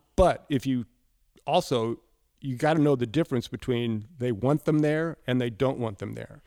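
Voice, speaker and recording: On a very clean recording with a silent background, a man with an American accent uses a normal speaking voice at medium pitch, ordinary pitch variation and a moderate pace. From US Midwest, Indianapolis, Indiana. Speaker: record producer and mix engineer. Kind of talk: casual interview. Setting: recording studio.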